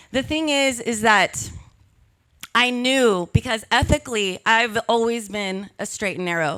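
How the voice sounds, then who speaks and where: On a very clean recording with a silent background, a woman uses a normal speaking voice with a fairly high pitch and ordinary pitch variation. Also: fairly slow pace. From Texas. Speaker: public relations specialist. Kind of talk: live talk to an audience.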